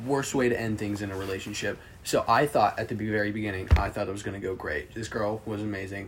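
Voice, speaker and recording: Over noticeable background noise, a man with a fairly low voice talks at a very fast pace, with fairly even intonation and hardly any pauses. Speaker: podcast co-host. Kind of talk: casual chat among friends.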